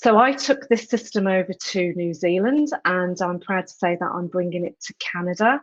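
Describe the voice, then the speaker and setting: A woman with a British accent speaks at a fairly slow pace, with a dry, close sound with no echo. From England. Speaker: education program leader. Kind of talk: panel discussion.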